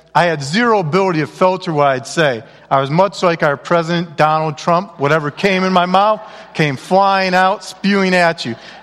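A man's high voice at a moderate pace with ordinary pitch variation, over noticeable background noise. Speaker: guest speaker at a church. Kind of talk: comedic storytelling talk.

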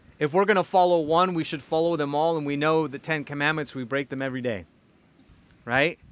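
Here a man talks in a plain, everyday voice, pitched fairly high. He moves at a fairly quick pace with ordinary pitch variation. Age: 40s. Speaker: pastor. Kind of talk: sermon.

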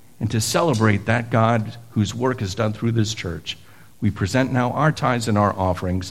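At a moderate pace, a man with a medium-pitched, somewhat breathy voice speaks with ordinary pitch variation. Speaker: pastor. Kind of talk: liturgy and benediction. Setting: church.

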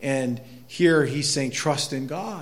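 Speaking at a fairly slow pace with an American accent, a man shows ordinary pitch variation amid audible room echo. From northern Maine, US. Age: 50s. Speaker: pastor. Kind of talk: sermon.

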